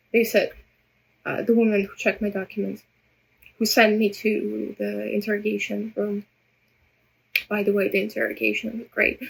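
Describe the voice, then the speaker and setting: Pausing long and often, a woman talks at a moderate pace. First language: Russian. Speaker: vlogger. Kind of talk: personal vlog monologue. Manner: halting, many repetitions.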